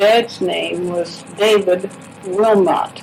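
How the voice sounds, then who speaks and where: The voice has an American accent. There is noticeable background noise. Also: woman. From US Midwest, Grandview, Missouri. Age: 80s+. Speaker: elderly local resident. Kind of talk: oral history interview.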